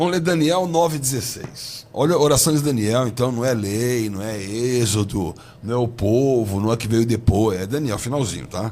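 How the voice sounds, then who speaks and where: A man at a moderate pace, intonation lively, with audible room echo. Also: medium pitch for a man. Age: 60s. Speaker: bishop. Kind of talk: heated debate.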